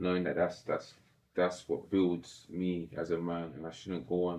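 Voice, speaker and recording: In a London accent, a man with a very deep, low pitch speaks at a moderate pace in a monotone, flat intonation. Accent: London multicultural English. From south-east London. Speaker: professional boxer. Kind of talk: podcast interview.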